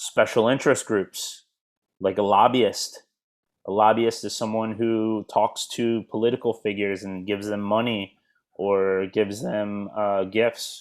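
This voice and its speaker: A fairly low-pitched man's voice with an American accent, flat monotone intonation and a fairly slow pace, on a very clean recording with a silent background. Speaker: English teacher. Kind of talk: lecture.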